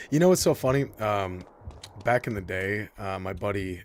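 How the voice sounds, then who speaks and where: In a Michigan accent, a man speaks at a fairly low pitch. His pitch variation is ordinary. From Michigan, near Detroit (US Midwest). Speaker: video game streamer. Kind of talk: casual live-stream gameplay commentary. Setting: live stream. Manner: animated.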